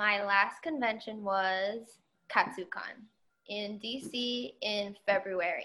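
A woman speaks very slowly at a medium pitch, her tone bright and sharp, with ordinary pitch variation. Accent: American. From New Jersey. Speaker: cosplayer. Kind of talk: casual chat.

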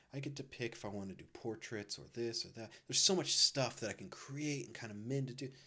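Speaking at a fairly quick pace, a man sounds animated, with ordinary pitch variation. His tone is bright and sharp. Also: medium pitch for a man. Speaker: podcast co-host. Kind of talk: casual chat.

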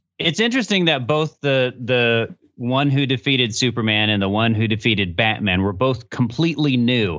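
Talking at a moderate pace with hardly any pauses, a man with an ordinary speaking voice uses a medium pitch, lively intonation and very even loudness. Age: 30s. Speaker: podcast host. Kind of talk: casual chat. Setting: video call.

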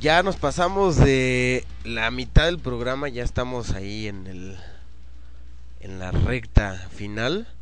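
With audible room echo, a man with a fairly low pitch talks at a very slow pace in a relaxed tone. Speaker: internet radio host. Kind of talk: casual radio show chat. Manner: relaxed, slangy.

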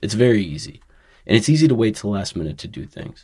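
A man with a fairly low, somewhat breathy voice talks at a fairly quick pace in a very clean recording with a silent background. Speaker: podcast host. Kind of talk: podcast interview, casual chat.

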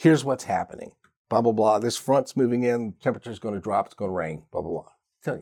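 With an American accent, a man with a medium pitch and a dark, mellow tone talks at a very fast pace. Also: ordinary pitch variation, big swings in loudness. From Richmond, Virginia. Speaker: radio disc jockey. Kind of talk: casual interview chat.

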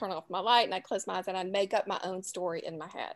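A woman speaks at a very fast pace with a Southern US accent. The recording is very clean, with a silent background. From New Orleans, US South. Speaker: author. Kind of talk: casual interview chat.

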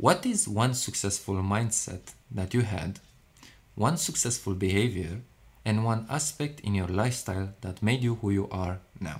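Somewhat breathy, a man speaks at a moderate pace with a fairly low pitch. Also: ordinary pitch variation. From Romania. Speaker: podcast host. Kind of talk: interview.

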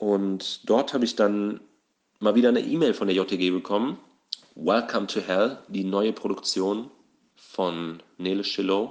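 A man's fairly low pitch, a plain, everyday voice, fairly slow in pace with ordinary pitch variation. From southern Hesse, Germany. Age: 20s. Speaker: nurse and amateur actor. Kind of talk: casual monologue. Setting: voice memo recording.

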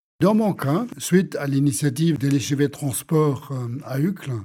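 Ordinary pitch variation marks this man's fairly high voice. His tone is dark and mellow. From Germany. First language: German (speaking French). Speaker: urban planner and economist. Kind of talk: interview. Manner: halting, repeats words.

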